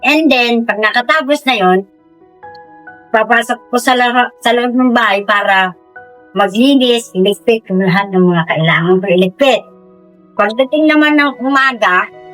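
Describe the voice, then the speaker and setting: Against music in the background, a woman talks at a moderate pace in a fairly high voice with ordinary pitch variation. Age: 70s. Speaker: street food vendor, small business owner. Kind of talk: interview answer. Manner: casual, conversational.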